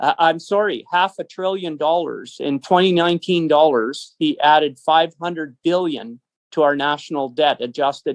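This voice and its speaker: A man speaks in a Canadian prairie accent at a moderate pace. The sound is dry and close, with no echo. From Canada. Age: 60s. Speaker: business owner and political activist. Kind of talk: interview. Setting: phone call.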